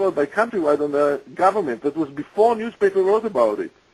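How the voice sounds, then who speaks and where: Here a man is speaking. His pitch is high. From Israel. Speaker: whistleblower. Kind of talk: interview. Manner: halting.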